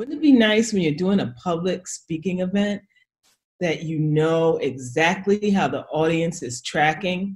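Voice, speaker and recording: Over a quiet background, a woman with an American accent speaks somewhat breathily at a fairly slow pace. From New York. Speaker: public speaking coach. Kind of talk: instructional casual chat. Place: home room. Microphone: webcam.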